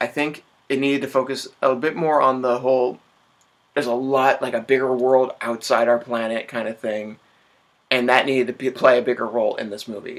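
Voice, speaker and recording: A man speaks at a fairly quick pace in a medium pitch. His intonation stays monotone and flat. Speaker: vlogger, film reviewer. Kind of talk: casual vlog review. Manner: halting, stammers.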